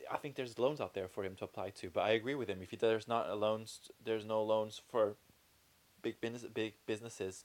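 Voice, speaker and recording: Speaking at a fairly quick pace, a man with a fairly low voice has an unremarkable speaking voice and fairly even intonation. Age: 20s. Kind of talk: casual chat.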